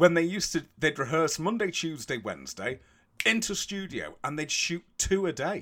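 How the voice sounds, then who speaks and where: A man with a British accent, high pitch, bright, sharp tone, lively intonation and an animated tone at a moderate pace, on a very clean recording with a silent background. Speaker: podcast co-host. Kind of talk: casual comedic chat. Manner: animated, joking.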